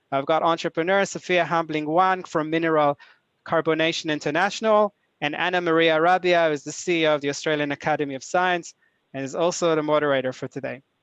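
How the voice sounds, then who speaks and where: Over a quiet background, a man with an Israeli accent talks very fast at a fairly high pitch, his intonation fairly even and the sound dry and close with no echo. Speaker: executive director of a nonprofit, webinar host. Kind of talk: webinar introduction. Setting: online webinar. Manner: hesitant, many filler uhs.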